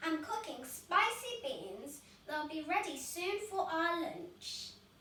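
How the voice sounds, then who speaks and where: In a put-on character voice pitched extremely high, a woman speaks at a fairly slow pace, with a slight echo around her. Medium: read story.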